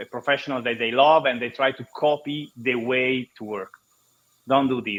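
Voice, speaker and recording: This man's voice sits at a medium pitch and moves at a moderate pace. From Italy. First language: Italian. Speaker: marketing consultant and podcaster. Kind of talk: panel discussion. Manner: halting.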